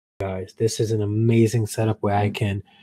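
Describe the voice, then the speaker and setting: Somewhat breathy and dark, mellow in tone, a man's fairly low voice comes through dry and close with no echo. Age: 30s. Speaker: marriage coach and teacher. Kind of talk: live stream talk. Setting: live broadcast.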